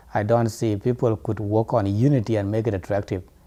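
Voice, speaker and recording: A man with a non-native accent speaks at a medium pitch in a dark, mellow tone with fairly even intonation. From South Sudan. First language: not English. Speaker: student and diaspora activist. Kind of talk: interview testimony.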